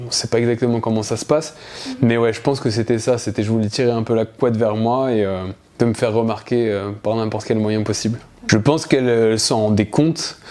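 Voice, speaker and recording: There is noticeable background noise as a man talks at a fairly quick pace with fairly even intonation. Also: medium pitch for a man. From France, Alsace. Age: 30s. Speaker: naturopath, former young carer. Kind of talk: testimony. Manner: hesitant, many filler sounds.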